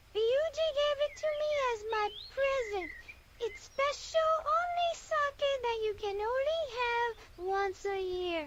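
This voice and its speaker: A woman puts on a squeaky character voice with an extremely high pitch, a playful tone and lively intonation. She speaks at a fairly slow pace over loud background noise. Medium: game stream. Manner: boastful, playful.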